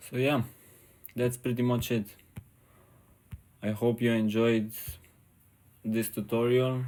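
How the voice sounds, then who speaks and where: Monotone, flat intonation from a man with a non-native accent, a dark, mellow tone, medium pitch and long, frequent pauses. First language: not English. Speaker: 3D artist. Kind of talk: tutorial. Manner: halting.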